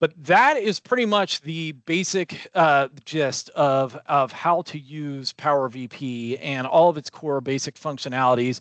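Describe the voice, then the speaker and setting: In a dry, close recording with no echo and a quiet background, a man with an ordinary speaking voice talks at a fairly slow pace and a fairly high pitch, with ordinary pitch variation and hardly any pauses. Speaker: software trainer. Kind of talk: tutorial.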